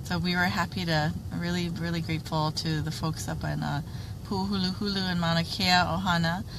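A woman at a moderate pace, dry sound with no echo, and noticeable background noise. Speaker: livestream facilitator. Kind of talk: casual chat. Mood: grateful, somewhat concerned. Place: car. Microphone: phone near.

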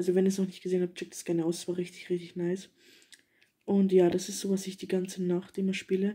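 Against a quiet background, a woman speaks very fast in a dark, mellow, somewhat breathy tone with monotone, flat intonation. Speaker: young gaming vlogger. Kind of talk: casual vlog chat. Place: home room. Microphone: phone near.

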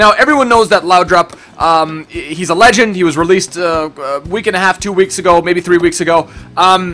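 The pace is moderate, with hardly any pauses. Pitch variation is ordinary. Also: man, high pitch for a man. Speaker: gaming youtuber. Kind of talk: casual gaming commentary. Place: home room.

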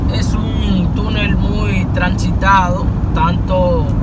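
The recording sounds dry with no echo but carries loud background noise. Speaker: vlogger passenger. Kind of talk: casual vlog narration. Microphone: phone near.

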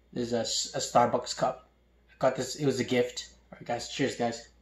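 Very fast, monotone speech from a man, flat in intonation, with audible room echo. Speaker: food vlogger. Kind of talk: casual vlog chat. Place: home room.

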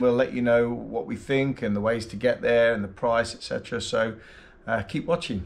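The man's pace is moderate. His pitch moves up and down the usual amount. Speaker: travel vlogger. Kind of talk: casual vlog chat. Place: home room. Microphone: phone near.

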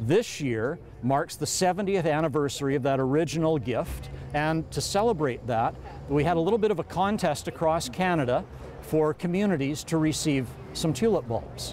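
A man talks at a moderate pace with lively intonation. Music plays behind him in a dry recording with no echo. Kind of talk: interview answer. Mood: warm, proud, upbeat. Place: street. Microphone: lapel.

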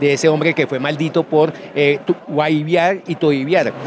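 In a monotone with flat intonation, a man with a fairly high pitch speaks at a moderate pace, the sound dry with no echo and the background noise noticeable. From Colombian Llanos, Villavicencio, Meta. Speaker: writer. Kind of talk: interview. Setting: book fair. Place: hall. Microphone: handheld.

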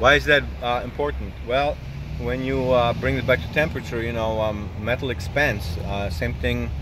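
A man's voice moves through very wide pitch swings. Noticeable background noise is present, and the sound is dry with no echo. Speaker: motorcycle vlogger. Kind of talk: casual vlog chat. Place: car. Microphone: phone near.

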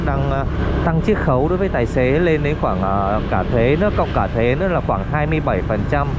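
Man at a moderate pace, dry sound with no echo, loud background noise. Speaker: vlogger riding for a ride-hailing app. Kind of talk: casual vlog chat. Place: motorbike.

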